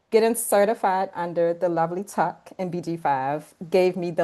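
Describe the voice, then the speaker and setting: This woman has a fairly low pitch and a dark, mellow tone, speaking at a moderate pace over a quiet background. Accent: Baltimore. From Baltimore, Maryland. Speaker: podcast co-host and coach. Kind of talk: personal introduction.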